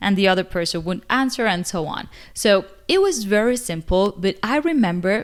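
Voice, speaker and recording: A medium-pitched woman, fairly slow, with lively intonation, on a very clean recording with a silent background. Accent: Spanish. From Cuba. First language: Spanish. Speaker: English teacher, video creator. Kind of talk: casual vlog talk to camera.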